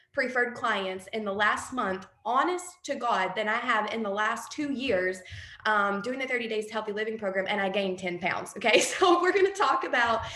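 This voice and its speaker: A woman's fairly high voice, with audible room echo. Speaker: direct sales team leader. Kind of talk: training talk on a call. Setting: group call. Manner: fast; animated.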